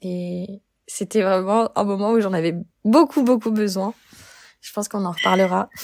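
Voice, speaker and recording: A woman of medium pitch speaks at a moderate pace with ordinary pitch variation and big swings in loudness. Long, frequent pauses break up her speech, and the sound is dry and close with no echo. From France, Lyon. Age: 20s. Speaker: community manager sharing anxiety experience. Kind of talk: personal testimony interview. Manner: hesitant, many fillers.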